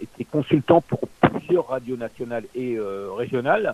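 A man's medium-pitched voice with a dark, mellow tone, lively intonation and a fairly slow pace. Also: dry, close sound with no echo. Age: 60s. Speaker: former radio host and radio consultant. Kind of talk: interview. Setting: on air, radio. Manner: halting.

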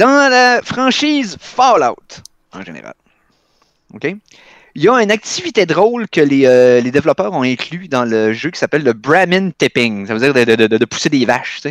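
A man speaks at a moderate pace with very wide pitch swings. The sound is dry and close, with no echo. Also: fairly high pitch for a man, big swings in loudness. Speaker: podcast host. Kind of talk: game quiz.

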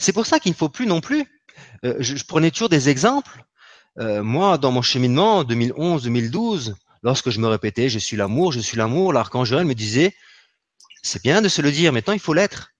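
Using very wide pitch swings, a man with fairly high pitch talks at a moderate pace. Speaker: spiritual healer. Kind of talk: spiritual teaching talk. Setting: live online broadcast. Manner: gentle and soft.

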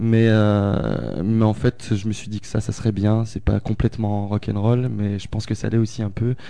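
A man's fairly low, monotone, flat voice at a moderate pace over noticeable background noise. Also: hardly any pauses. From France, Haute-Loire. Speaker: guitarist and singer in a rock-electro band. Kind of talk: casual radio interview.

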